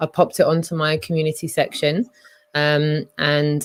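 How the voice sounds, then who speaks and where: In a London accent, a woman speaks with a very deep, low pitch. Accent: London-sounding voice. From Scotland. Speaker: live stream host. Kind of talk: casual chat. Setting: live stream.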